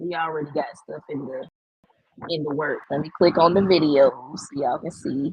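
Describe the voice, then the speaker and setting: Speaking with a Southern US accent, a woman uses a fairly low pitch, ordinary pitch variation and a moderate pace. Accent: country, says y'all a lot. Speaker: AI art content creator. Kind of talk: live stream tutorial. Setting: live stream. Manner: animated.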